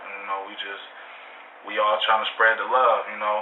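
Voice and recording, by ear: A man with an American accent speaks at a moderate pace in a fairly low voice, his pitch moving little, with audible room echo.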